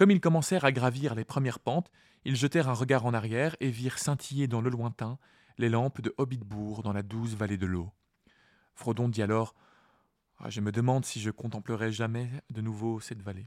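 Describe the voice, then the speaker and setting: A man speaks at a moderate pace in a calm tone, his medium pitch moving with ordinary variation, with long, frequent pauses on a very clean recording over a silent background. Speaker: podcast host and reader. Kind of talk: literary audiobook reading of the chapter, with commentary. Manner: calm, measured, storytelling narration.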